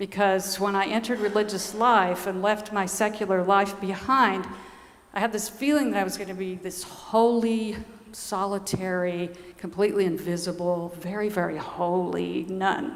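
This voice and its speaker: Soft-spoken and at medium pitch, a woman talks at a moderate pace with fairly even intonation amid audible room echo. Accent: American. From US South, Georgia. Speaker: nun. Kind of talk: conference talk.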